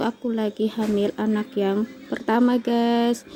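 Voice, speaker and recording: Fairly high pitch from a woman, with noticeable background noise. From Kalimantan, Indonesia. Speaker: vlogger, housewife. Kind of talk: casual vlog storytelling. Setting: at home. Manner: halting, many fillers.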